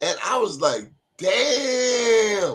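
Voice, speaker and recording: A man with a Baltimore accent. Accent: Baltimore accent, noted by self. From Baltimore, US. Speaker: awards show interviewer. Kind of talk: casual interview chat. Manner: animated.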